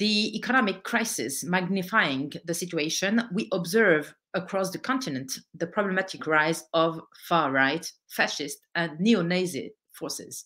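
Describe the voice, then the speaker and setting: A woman with a French accent speaks at a fairly slow pace, her fairly low voice bright and sharp in tone. Her intonation is lively, and the background is quiet. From France, of Algerian descent. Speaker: political activist and author. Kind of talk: lecture. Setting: online event. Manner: halting. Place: home room. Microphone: webcam.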